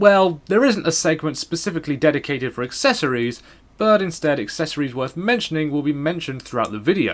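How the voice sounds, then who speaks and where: A man speaks in a British accent at a fairly quick pace. His pitch swings very widely. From Britain. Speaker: gaming YouTuber. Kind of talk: scripted voice-over narration. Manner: quiet, subdued in early segments.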